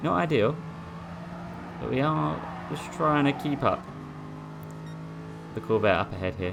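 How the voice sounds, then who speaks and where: A man at medium pitch makes very wide pitch swings and long, frequent pauses. Noticeable background noise is present. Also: moderate pace. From Essex, England. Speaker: sim racing gamer. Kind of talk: gameplay commentary. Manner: casual, hesitant.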